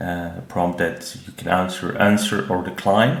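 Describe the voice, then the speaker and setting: A man's very deep, low voice with a non-native accent, audible room echo and noticeable background noise. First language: not English. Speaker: tech reviewer. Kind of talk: product review. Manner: hesitant, many filler sounds.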